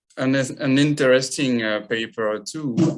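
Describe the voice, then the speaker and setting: A man with a French accent speaks very slowly at a medium pitch, his intonation fairly even. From France. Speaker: osteopath presenter. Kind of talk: casual chat. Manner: halting.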